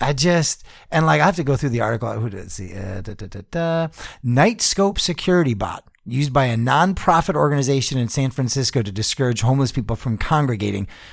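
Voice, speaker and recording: Over a silent background in a very clean recording, a man with a medium pitch talks at a very fast pace in an animated tone. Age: 40s. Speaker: podcast co-host. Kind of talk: casual podcast banter. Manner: profane, animated.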